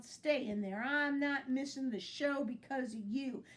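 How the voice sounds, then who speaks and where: A woman's gruff, growling put-on character voice, high in pitch, at a moderate pace. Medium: read story. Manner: gruff, growly.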